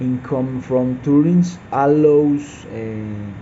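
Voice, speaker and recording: A man speaks with a Spanish accent. His pitch is medium and his intonation fairly even. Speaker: mining engineer student. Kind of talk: class assignment presentation. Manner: halting, hesitant with fillers.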